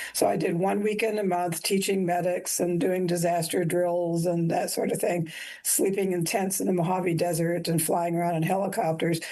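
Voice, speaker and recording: A woman's dark, mellow voice in a flat monotone, very even in loudness, at a moderate pace, with audible room echo. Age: 70s. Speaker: nurse educator and army veteran. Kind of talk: interview.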